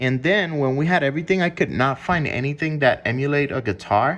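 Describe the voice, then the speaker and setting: Over a quiet background, a man with a non-native accent talks at a moderate pace, fairly high in pitch, with lively intonation. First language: not English. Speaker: music producer. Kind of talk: casual explanation of music production. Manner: hesitant, filler-heavy.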